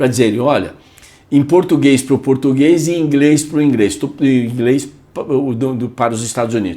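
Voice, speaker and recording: This man talks at a medium pitch and a moderate pace, with ordinary pitch variation. His tone is dark and mellow. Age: 60s. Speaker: radio podcast host. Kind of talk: casual chat.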